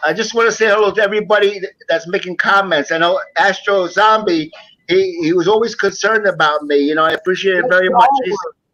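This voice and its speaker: A man talks at a very fast pace in a raised, projected voice. His pitch is high, with ordinary pitch variation. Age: 60s. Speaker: returning guest on a live chat show. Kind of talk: casual chat. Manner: halting, repeats words.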